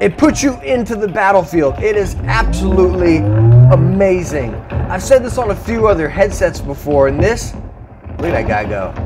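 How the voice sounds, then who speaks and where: Clear music can be heard behind the speech. The speaker is a man going at a moderate pace. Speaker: tech reviewer. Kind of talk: casual review commentary while gaming. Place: home room. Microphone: lapel.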